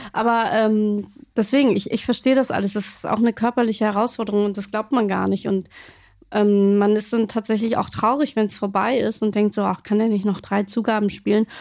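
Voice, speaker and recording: A woman talks at fairly high pitch in a monotone, flat intonation. The recording is very clean, with a silent background. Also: fairly quick pace. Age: 40s. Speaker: podcast host. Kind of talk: casual chat.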